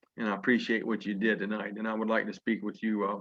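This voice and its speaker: In a Southern US accent, a man talks at a very fast pace. His pitch is fairly low. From Virginia. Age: 50s. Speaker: network marketing leader. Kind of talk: motivational speech. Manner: animated.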